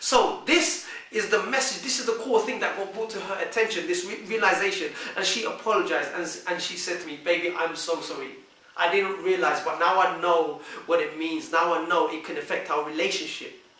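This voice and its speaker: Against noticeable background noise and audible room echo, a man with a high pitch speaks fairly quickly in a raised, projected voice with ordinary pitch variation. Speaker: vlogger giving relationship advice. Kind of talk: monologue to camera.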